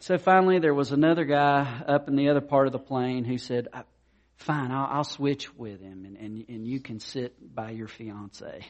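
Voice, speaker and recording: Big swings in loudness mark this man's ordinary speaking voice, which has a fairly high pitch, ordinary pitch variation and a moderate pace. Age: 50s. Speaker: pastor. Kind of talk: sermon.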